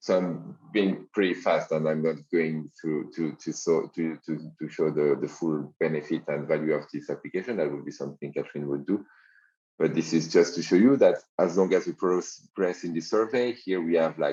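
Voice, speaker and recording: Moderate-paced speech from a man with a very deep, low pitch and ordinary pitch variation. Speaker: software company founder demoing a low-code platform. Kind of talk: software demo walkthrough. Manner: halting, many fillers and restarts.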